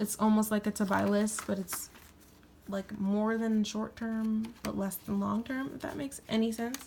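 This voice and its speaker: Somewhat breathy, a woman speaks at a fairly high pitch, a moderate pace and fairly even intonation. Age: 20s. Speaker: planner YouTuber. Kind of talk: tutorial. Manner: casual.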